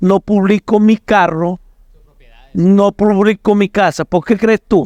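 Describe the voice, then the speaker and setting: A man's high voice at a very slow pace, with fairly even intonation, very even loudness and a dry, close sound with no echo. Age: 60s. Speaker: pastor. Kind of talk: podcast discussion.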